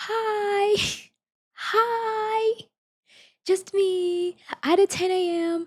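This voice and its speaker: A woman puts on a character voice at an extremely high pitch, with fairly even intonation. She goes at a very slow pace, with long, frequent pauses. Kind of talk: sweet, polite, customer service. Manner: cheerful, sugary.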